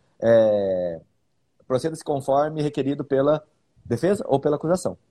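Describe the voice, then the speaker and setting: Lively intonation marks a man's medium-pitched voice with a dark, mellow tone. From Bauru, interior of São Paulo state, Brazil. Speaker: public defender and podcast host. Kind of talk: casual legal discussion podcast.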